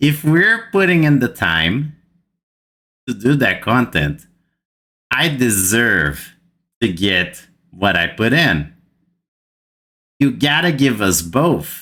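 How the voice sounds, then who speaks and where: A man with a Brazilian accent speaks at a medium pitch in a bright, sharp tone. His pace is very slow, with very wide pitch swings, very even loudness, and long, frequent pauses. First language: Portuguese. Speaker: gaming youtuber. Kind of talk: gaming commentary rant. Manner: animated.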